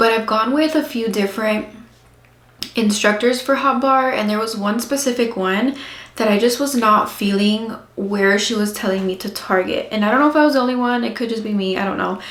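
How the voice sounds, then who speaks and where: Audible room echo surrounds a woman speaking at a fairly quick pace with a fairly high pitch and fairly even intonation. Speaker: mom vlogger. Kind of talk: casual vlog chat.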